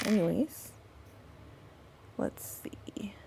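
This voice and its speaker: The speaker here is a woman. Background noise is noticeable behind her. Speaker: planner YouTuber. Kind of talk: casual plan-with-me tutorial chat. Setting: home at night, kids asleep. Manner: talking kinda loud.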